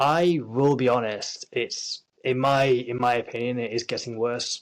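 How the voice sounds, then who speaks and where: Here a man speaks with a Yorkshire accent at a medium pitch. His intonation stays fairly even. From Yorkshire, northern England. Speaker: actor. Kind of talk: interview.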